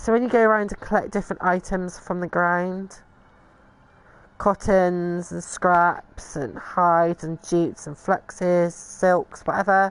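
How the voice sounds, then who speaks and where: The speaker has a British accent and fairly even intonation. The pace is fairly slow against a quiet background. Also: woman, fairly low pitch for a woman. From Britain. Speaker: video game streamer. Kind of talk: gameplay tutorial commentary. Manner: casual, hesitant with fillers.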